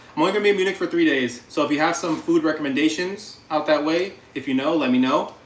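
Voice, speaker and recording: A man talks at a very fast pace with ordinary pitch variation, and noticeable background noise can be heard. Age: 30s. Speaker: cooking livestreamer. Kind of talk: casual livestream chat while cooking. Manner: animated.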